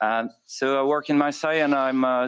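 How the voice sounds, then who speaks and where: A man with a French accent, at a moderate pace, against a quiet background. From France. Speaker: intensive care doctor. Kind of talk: conference presentation. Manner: halting, many fillers.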